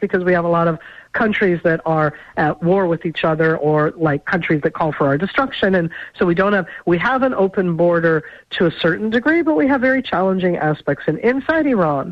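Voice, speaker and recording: A woman with an American accent, a normal speaking voice at medium pitch, lively intonation, a fairly quick pace and very even loudness. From Israel, raised there from childhood by immigrant parents. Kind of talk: radio interview.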